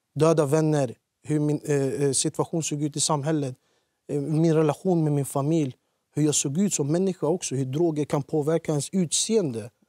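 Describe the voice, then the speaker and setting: In a dry sound with no echo and a quiet background, a man speaks at a fairly high pitch. His tone is dark and mellow, with fairly even intonation. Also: moderate pace. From Iraqi Kurdistan, moved to Sweden at age 10. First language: Kurdish (speaking Swedish). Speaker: former offender, youth lecturer; youth lecturer. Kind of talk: TV interview. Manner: hesitant with fillers. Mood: serious, reflective. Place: studio. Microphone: lapel.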